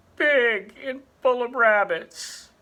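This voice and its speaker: The voice is a put-on character voice with a fairly high pitch. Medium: read story. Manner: intense, dramatic.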